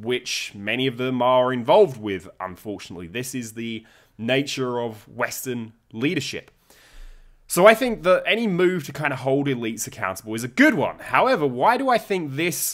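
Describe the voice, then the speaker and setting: On a very clean recording with a silent background, a man with a British accent speaks at a medium pitch with very wide pitch swings. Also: moderate pace. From United Kingdom. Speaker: political commentator and lecturer. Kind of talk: video commentary.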